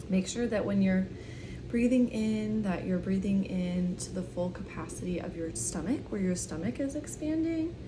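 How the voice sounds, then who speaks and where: The soft-spoken voice has a calm tone and a fairly slow pace. Noticeable background noise sits behind it. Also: woman. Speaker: breathwork and meditation guide. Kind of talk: guided breathwork session, soft-spoken ASMR. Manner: soft-spoken, calm, instructive.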